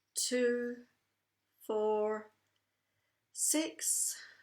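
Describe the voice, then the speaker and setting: A woman speaks with a Scottish accent. Her voice is high-pitched. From Scotland. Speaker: tapping coach running live online sessions. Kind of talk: guided breathing exercise and group session.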